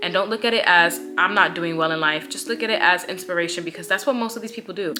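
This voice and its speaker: With lively intonation, a woman speaks against noticeable background noise. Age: 20s. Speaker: lifestyle vlogger. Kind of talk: casual chat. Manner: animated.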